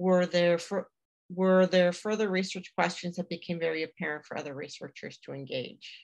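Over a quiet background, a woman with a Canadian accent uses a normal speaking voice at a fairly low pitch and a moderate pace. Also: fairly even intonation. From Atlantic Canada. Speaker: museum association executive director. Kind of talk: webinar hosting. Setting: video call. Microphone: video call.

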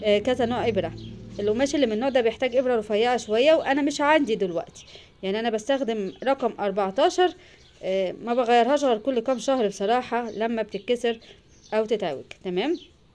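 Her pitch moving up and down a normal amount, a woman speaks at an unhurried, moderate speed. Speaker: sewing channel host. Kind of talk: tutorial. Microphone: phone near.

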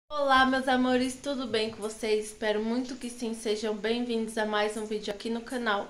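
With hardly any pauses, a woman at a fairly high pitch speaks in a monotone, flat intonation. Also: moderate pace. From Brazil. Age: 20s. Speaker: cooking vlogger. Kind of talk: cooking tutorial. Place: kitchen. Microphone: phone near.

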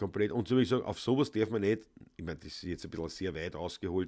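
A man with a Viennese accent speaks in a dark, mellow tone against a quiet background. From Vienna, Austria; Austria. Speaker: Viennese folk musician, livestream host; livestream host. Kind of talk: casual chat. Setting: home studio livestream. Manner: loud. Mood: relaxed, thoughtful. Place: home room.

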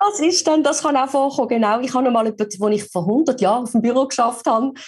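Very wide pitch swings mark speech delivered at a very fast pace. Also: woman. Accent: Swiss. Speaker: voice actor. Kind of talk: podcast interview answer.

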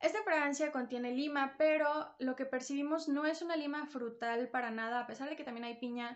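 A woman speaks at a moderate pace in a high pitch with ordinary pitch variation. The background is quiet. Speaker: perfume reviewer, video creator. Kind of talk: product review vlog. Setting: recorded on a phone at home. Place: home room. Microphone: new phone.

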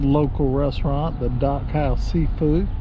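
A man is speaking in a dry sound with no echo. Noticeable background noise is present. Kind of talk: casual vlog chat. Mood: cheerful, relaxed. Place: car. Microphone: phone near.

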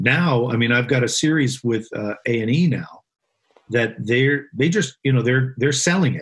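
A man's medium-pitched, somewhat breathy voice moves along at a fairly slow pace. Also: ordinary pitch variation. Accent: American. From Vermont, then California from early teens. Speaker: screenwriter. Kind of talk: casual interview.

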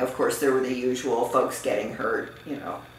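In a room with audible echo and light background noise, a woman is speaking. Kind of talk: interview answer. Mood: relaxed, occasionally laughing. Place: home room.

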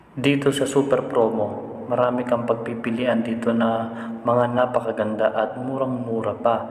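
At a moderate pace and medium pitch, a man speaks in a monotone, flat intonation with very even loudness over noticeable background noise. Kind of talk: street-seller sales pitch, walking tour. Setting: outdoors at a warehouse.

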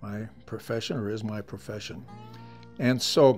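Faint background music plays while a man talks. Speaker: museum storyteller. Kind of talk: storytelling interview. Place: home room. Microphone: lapel.

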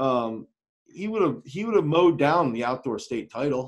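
At a moderate pace, a man speaks with an American accent against a quiet background. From Pennsylvania, US. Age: 30s. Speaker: throws coach. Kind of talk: webinar talk. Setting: online video call. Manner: animated. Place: office. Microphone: webcam.

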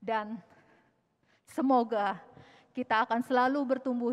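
High in pitch, a woman speaks at a fairly slow pace with fairly even intonation. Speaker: event MC. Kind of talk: ceremony emceeing. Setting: church with audience. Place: church. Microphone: podium.

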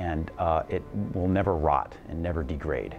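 A man's very deep, low voice at a moderate pace, with clear music in the background. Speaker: interviewee. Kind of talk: interview answer. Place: home room. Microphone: lapel.

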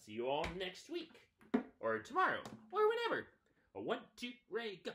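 A man talks with clear music in the background. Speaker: children's story reader. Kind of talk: storytime reading and singalong. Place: home room. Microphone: webcam.

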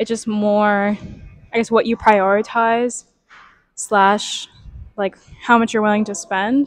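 Against a quiet background, a woman speaks in a monotone, flat way at a fairly slow pace, with long, frequent pauses and a dry sound with no echo. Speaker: vlogger. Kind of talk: casual vlog chat. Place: gym. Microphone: lapel.

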